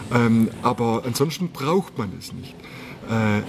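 Very slow speech from a man at medium pitch, ordinary in its pitch variation, over noticeable background noise. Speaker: motorcycle salesman. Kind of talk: casual interview. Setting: motorcycle store. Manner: animated.

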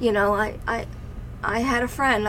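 Noticeable background noise sits behind a woman with a fairly high voice and an American accent. She talks at a moderate pace with fairly even intonation. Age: 50s. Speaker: mother of podcast host, mental health guest. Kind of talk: personal testimony.

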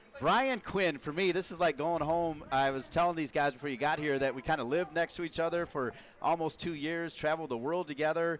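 A man speaks at a fairly high pitch and fairly quick pace with hardly any pauses. It is a normal speaking voice with ordinary pitch variation. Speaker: podcast host and broadcaster. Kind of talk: interview.

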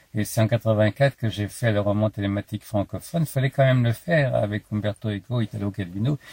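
Somewhat breathy delivery at a fairly quick pace, hardly any pauses, ordinary pitch variation. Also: man, fairly low pitch for a man. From France, Paris. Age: 70s. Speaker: philosopher and author. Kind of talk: interview. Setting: outdoors.

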